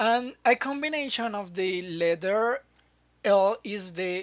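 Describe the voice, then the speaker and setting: A woman in a Spanish accent, very slow in pace, with lively intonation. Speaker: Spanish teacher. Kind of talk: language lesson to camera.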